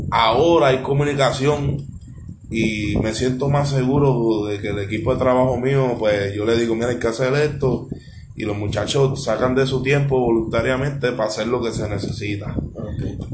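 Over noticeable background noise and audible room echo, a man talks at a moderate pace with a medium pitch and fairly even intonation. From US, Philadelphia. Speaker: charity founder. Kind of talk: casual chat.

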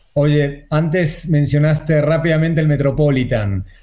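Over audible room echo, a man speaks at a fairly slow pace with a dark, mellow, somewhat breathy tone. His pitch is fairly high, with ordinary variation. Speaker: online show co-host. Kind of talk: casual chat.

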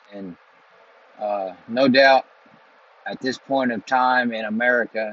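With a fairly bright tone and fairly even intonation, a man speaks at a medium pitch.

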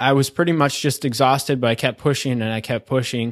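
A man's medium-pitched voice with fairly even intonation on a very clean recording with a silent background. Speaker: podcast host. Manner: casual, conversational.

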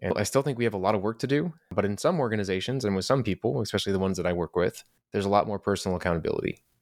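Very fast talk from a man with a fairly low pitch comes through on a very clean recording against a silent background. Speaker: leadership and career coach. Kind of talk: interview conversation.

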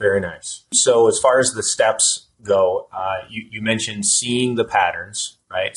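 A man speaks at a fairly slow pace with hardly any pauses. His loudness swings a lot. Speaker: podcast host. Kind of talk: interview. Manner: halting.

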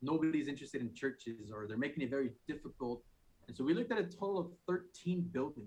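A man talks in an unremarkable speaking voice with an American accent. His pace is fairly quick and his intonation lively. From Phoenix, Arizona. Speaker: church planter and technician. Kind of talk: testimony.

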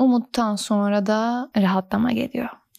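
On a very clean recording with a silent background, a woman speaks at a fairly high pitch. Her dark, mellow tone has ordinary pitch variation at a moderate pace. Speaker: podcast host. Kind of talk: casual monologue. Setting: recording at home late at night. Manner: radio-presenter style.

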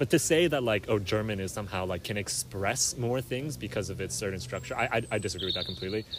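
A man talks at a very fast pace with very wide pitch swings. His pitch sits fairly low, and background noise is noticeable. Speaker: podcast host. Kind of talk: casual chat. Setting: outdoors.

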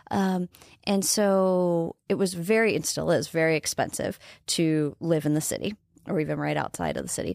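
A woman with an American accent uses a plain, everyday voice at a fairly low pitch and a moderate pace, with ordinary pitch variation, recorded dry and close with no echo, very clean against a silent background. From northeast Nebraska, farm. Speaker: entrepreneur and former TV broadcaster. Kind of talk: casual interview.

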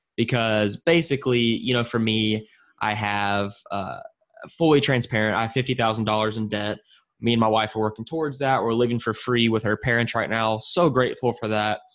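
In a normal speaking voice, a man talks at a fairly quick pace with fairly even intonation against a quiet background. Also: medium pitch for a man. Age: 20s. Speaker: podcast host. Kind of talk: interview.

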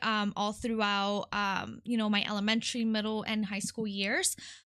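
Against a quiet background, a woman with a Midwestern US accent and fairly high pitch speaks at a moderate pace in a bright, sharp tone. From California, then Detroit. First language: Spanish. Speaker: nonprofit worker, guest. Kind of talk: casual interview.

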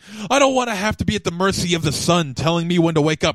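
Noticeable background noise surrounds a man speaking at a very fast pace. His high pitch makes very wide swings. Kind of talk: recording voiceover takes, repeated takes and a manic rant.

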